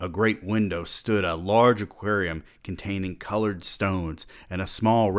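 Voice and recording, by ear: The speaker is reading aloud. The voice stays natural throughout.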